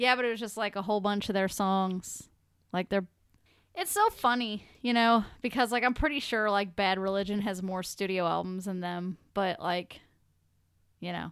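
On a very clean recording with a silent background, a woman speaks in a normal speaking voice at a medium pitch and moderate pace, with fairly even intonation. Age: 20s. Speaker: podcast co-host. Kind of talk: casual chat.

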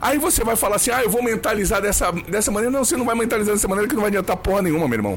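With music playing behind him, a man speaks very fast in a high voice at very even loudness. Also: ordinary pitch variation, hardly any pauses. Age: 40s. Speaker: brain trainer / coach. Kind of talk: casual interview chat.

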